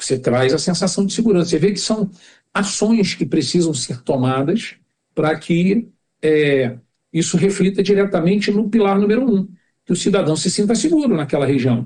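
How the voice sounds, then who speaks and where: A high-pitched man keeps a moderate pace, his intonation lively throughout. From Rio de Janeiro, Brazil (Jacarepaguá). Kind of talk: podcast interview.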